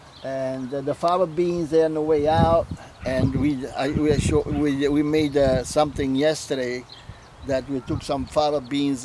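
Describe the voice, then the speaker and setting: A man with a fairly high pitch speaks at a fairly slow pace with an Italian accent. His intonation is fairly even, and there is noticeable background noise. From Puglia, southern Italy. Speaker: home gardener. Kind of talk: interview answer. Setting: outdoors.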